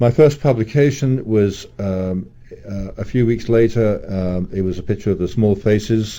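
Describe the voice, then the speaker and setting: In a southeast English accent, a man with a fairly low, dark, mellow voice speaks at a moderate pace with ordinary pitch variation. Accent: British, southeast English. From southeast England, London. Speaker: music photographer. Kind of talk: radio interview. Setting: radio studio. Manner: hesitant, many fillers and repeats.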